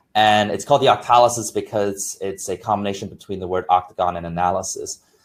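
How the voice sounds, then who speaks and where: His voice sits fairly low in pitch. The man delivers his words at a very fast pace. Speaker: gamification expert. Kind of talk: webinar presentation.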